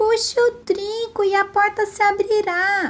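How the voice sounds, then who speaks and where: A woman does a squeaky put-on character voice at an extremely high pitch, speaking fairly slowly over music in the background. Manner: feigned thin voice.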